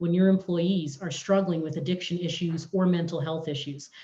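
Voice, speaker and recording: A woman's dark, mellow, somewhat breathy voice, fairly low in pitch, with fairly even intonation and a fairly quick pace. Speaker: municipal election candidate. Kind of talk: candidate forum answer. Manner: articulate, fluent.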